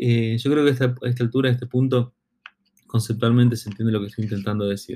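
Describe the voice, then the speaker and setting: A man's medium-pitched voice rises and falls with ordinary variation. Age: 40s. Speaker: marketing consultant and podcast host. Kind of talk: solo educational podcast monologue. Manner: halting, many fillers and repeated words.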